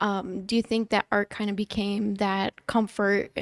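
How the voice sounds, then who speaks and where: At a fairly slow pace, a woman with a Midwestern accent speaks in a dry, close sound with no echo. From US Midwest. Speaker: podcast host. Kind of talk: casual interview chat. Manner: hesitant, filler-heavy.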